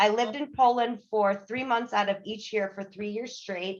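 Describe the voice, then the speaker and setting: A woman with a slight Polish accent speaks at a fairly high pitch. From US, Polish-American household. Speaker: engineering project assistant, Toastmasters member. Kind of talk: interview. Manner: fast.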